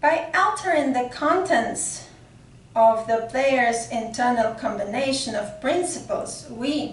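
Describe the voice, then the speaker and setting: A woman with a non-native accent, a high pitch, lively intonation and a very slow pace. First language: not English. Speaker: occult mythology researcher, channel host. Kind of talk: reading a prepared article aloud. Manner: halting, with fillers.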